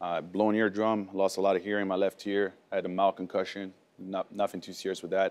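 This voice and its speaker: A man speaks at a fairly quick pace. His pitch is fairly low. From France, moved to US at 11. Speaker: war veteran, medal recipient; guest. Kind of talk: talk show interview. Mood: serious, composed storytelling. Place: studio.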